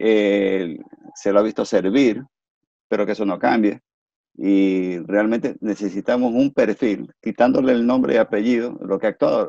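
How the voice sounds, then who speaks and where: Medium in pitch with ordinary pitch variation, a man's voice has a dark, mellow tone and a dry, close sound with no echo. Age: 60s. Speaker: engineer and political commentator. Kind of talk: interview.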